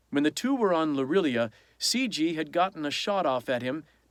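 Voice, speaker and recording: An unremarkable speaking voice from a man, fairly high in pitch, fairly slow, with lively intonation, on a very clean recording with a silent background. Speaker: audiobook narrator. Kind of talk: audiobook reading.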